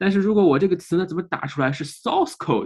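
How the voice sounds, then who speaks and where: A man against a quiet background. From China. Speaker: English teaching content creator. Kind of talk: interview. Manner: halting, many fillers.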